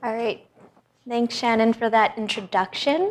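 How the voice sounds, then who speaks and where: A woman with a Canadian accent has an unremarkable speaking voice. Her fairly high pitch follows fairly even intonation. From Canada, Vancouver. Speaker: hematologist. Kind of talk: lecture. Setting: hospital presentation room with audience.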